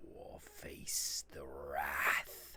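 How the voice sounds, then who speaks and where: This is a booming, put-on character voice. It moves at a very slow pace. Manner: commanding, threatening.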